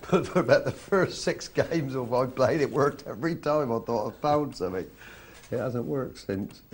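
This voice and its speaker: A man with an English accent, lively intonation and a fairly quick pace. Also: medium pitch for a man. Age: 60s. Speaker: poker commentator. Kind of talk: live commentary.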